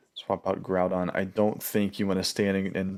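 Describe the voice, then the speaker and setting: Quiet and very deep in pitch, a man speaks on a very clean recording with a silent background. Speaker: gaming commentator. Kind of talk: live reaction commentary. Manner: quiet, low-voiced.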